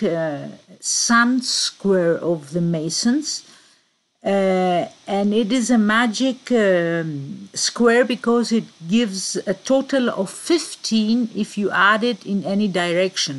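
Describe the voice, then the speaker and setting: A woman with a Greek accent talks at a very slow pace and a medium pitch. Her intonation is lively. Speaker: conspiracy researcher. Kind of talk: presentation. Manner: halting.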